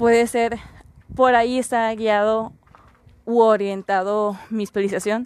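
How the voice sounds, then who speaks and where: With a dry, close sound and no echo, a woman speaks at a fairly high pitch. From Mexico, Mexicali, Baja California. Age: 20s. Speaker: podcast host, psychology student. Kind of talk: casual monologue.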